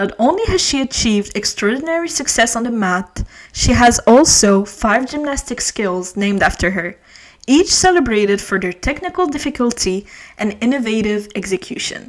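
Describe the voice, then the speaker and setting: Over noticeable background noise, a woman talks at a moderate pace with a fairly high pitch that swings very widely. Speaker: podcast host. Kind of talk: biography narration.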